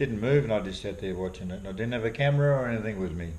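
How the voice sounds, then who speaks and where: With audible room echo, a man speaks very fast in a fairly low pitch with ordinary pitch variation. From Australia, Victoria (moved from abroad at ten). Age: 60s. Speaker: fly fisherman and wildlife artist. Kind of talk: casual interview.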